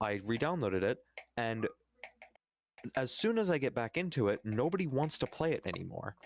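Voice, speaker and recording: Recorded dry and close with no echo, a man of medium pitch speaks at a moderate pace with long, frequent pauses, very wide pitch swings and very even loudness. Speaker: gaming streamer. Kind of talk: casual chat. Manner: halting, many fillers.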